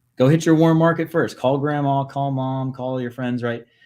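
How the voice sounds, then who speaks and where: Only a quiet background sits behind this man as he speaks. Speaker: podcast host and business acquisition coach. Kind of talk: casual coaching conversation. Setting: live video podcast. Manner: fast; animated.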